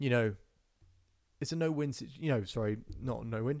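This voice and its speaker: A man with a British accent speaks at a fairly quick pace in a medium pitch. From England, near London. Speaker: self-belief coach and podcast host. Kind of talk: live-stream Q&A. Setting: Instagram Live stream. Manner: casual, off the cuff.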